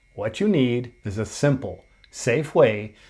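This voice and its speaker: In a very clean recording with a silent background, a man talks at a medium pitch in a somewhat breathy voice. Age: 60s. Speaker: fitness coach. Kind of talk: workout tutorial. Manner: motivational.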